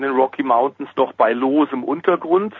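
This man's voice is fairly high in pitch. He keeps to a moderate pace. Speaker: motorsport commentator. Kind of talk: casual chat.

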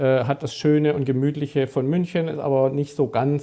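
A man speaks in a dark, mellow tone, keeping a moderate pace. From Stuttgart, southwest Germany. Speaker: sports journalist. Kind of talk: casual chat.

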